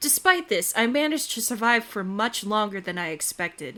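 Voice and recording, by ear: A natural voice reads aloud, its intonation lively.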